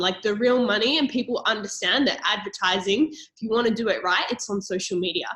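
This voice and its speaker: With an Australian accent, a woman speaks at a fairly high pitch in a bright, sharp tone. Her pace is moderate and her pitch variation ordinary. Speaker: network marketing presenter. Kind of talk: sales pitch. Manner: animated.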